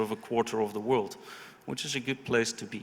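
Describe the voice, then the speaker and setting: With a Dutch accent, a man speaks. His voice is at a medium pitch. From Netherlands. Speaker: investment consultant. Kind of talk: panel discussion. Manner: halting, many fillers and repetitions.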